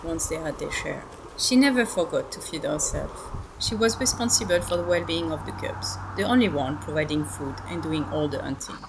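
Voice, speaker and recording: A woman speaks with a French accent at a moderate pace. Background noise is noticeable. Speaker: wildlife monitor. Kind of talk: documentary narration.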